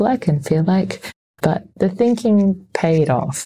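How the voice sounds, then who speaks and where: This woman has an Australian accent and a dark, mellow tone. Her voice is somewhat breathy, with lively intonation. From Sydney, Australia. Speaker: arts and culture worker, mother. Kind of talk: interview conversation.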